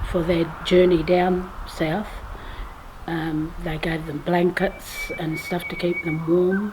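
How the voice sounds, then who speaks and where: A woman speaks very slowly in a fairly low, monotone, flat voice, with audible room echo and noticeable background noise. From Western Australia, Geraldton. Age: 50s. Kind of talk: oral family history testimony. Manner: hesitant, many fillers.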